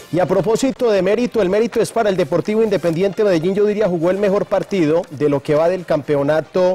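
A man's high-pitched voice at a very fast pace, ordinary pitch variation and hardly any pauses, over faint background music. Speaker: sports commentator. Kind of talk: commentary. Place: studio. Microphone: lapel.

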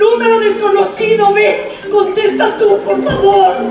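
Very slow speech comes through noticeable background noise and audible room echo. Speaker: stage actress. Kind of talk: theatrical dialogue. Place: stage. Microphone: camera far.

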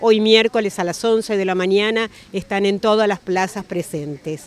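This woman speaks at a fairly slow pace. Her intonation stays fairly even. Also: dry sound with no echo. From Mendoza, Argentina. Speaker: retiree activist. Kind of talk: street interview statement. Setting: outdoors, plaza. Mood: indignant, determined. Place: street.

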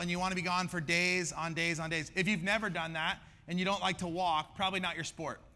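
Speaking at a very fast pace, a man talks with a bright, sharp tone. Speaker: pastor. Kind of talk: sermon. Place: stage. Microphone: headset.

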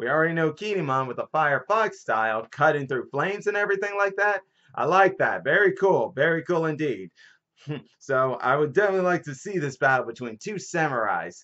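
The speech moves at a fairly quick pace against a quiet background. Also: man. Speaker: manga reviewer. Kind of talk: casual vlog chat. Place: home room. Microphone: webcam.

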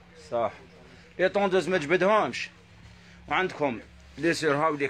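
A man talks at a moderate pace with lively intonation. Light background noise sits behind him. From Algeria. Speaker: shop seller. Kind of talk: live sales stream. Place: shop. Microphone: phone near.

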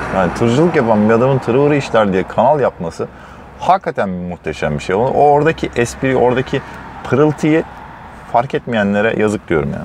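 Light background noise sits under a dry, echo-free recording of a man speaking at a fairly quick pace in a relaxed tone, his pitch swinging very widely. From Turkey. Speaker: truck driver vlogger. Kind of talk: casual vlog, talking while driving. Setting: in a truck cab. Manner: relaxed, chatty. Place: car. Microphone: camera far.

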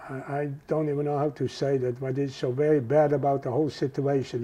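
With a Dutch accent, a man speaks at a moderate pace in a fairly high, dark and mellow voice, his intonation monotone and flat. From Netherlands. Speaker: Holocaust survivor. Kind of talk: oral history interview answer.

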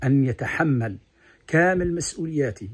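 A man's somewhat breathy voice at a fairly slow pace with ordinary pitch variation. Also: quiet background. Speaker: commentator giving an anniversary address. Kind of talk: formal address. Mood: earnest, patriotic. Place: garden. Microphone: phone near.

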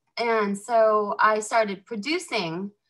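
Woman with an American accent, a fairly high pitch and a bright, sharp tone, at a very slow pace, over a quiet background. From northern California. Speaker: former model and actress; actress. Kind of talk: casual chat. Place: home room. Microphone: video call.

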